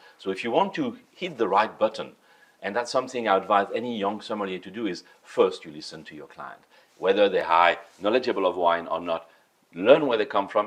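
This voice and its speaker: Talking at a fairly quick pace, a man with a French accent has a medium pitch and lively intonation. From France. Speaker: sommelier. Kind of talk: interview. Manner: halting.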